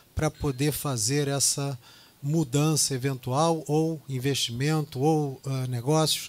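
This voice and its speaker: Speaking at a very slow pace, the man has a fairly high pitch. His intonation is fairly even. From Brazil, Rio de Janeiro. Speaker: real estate executive. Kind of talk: business presentation. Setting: business lunch event with audience.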